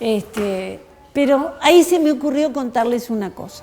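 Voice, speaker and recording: Lively intonation from a high-pitched woman, noticeable background noise all around. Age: 60s. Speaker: historian. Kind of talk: talk to schoolchildren. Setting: school.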